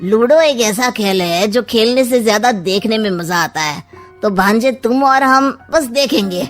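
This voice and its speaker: A cartoonish character voice moves at a moderate pace with lively intonation, while faint music plays in the background. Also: woman, fairly high pitch for a woman. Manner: sly, teasing, smug.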